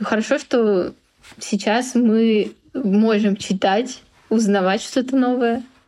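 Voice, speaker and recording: A woman's dark, mellow voice at a fairly high pitch, fairly even in intonation and very even in loudness, very slow with long, frequent pauses. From Russia. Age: 20s. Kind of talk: casual chat.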